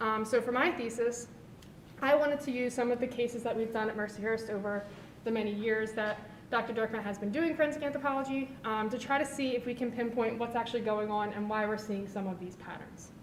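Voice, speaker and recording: Very fast speech comes from a woman with a fairly high pitch and fairly even intonation. Audible room echo and noticeable background noise fill the recording. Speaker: forensic anthropology researcher presenting thesis. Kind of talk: conference talk. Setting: symposium with live audience. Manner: quiet.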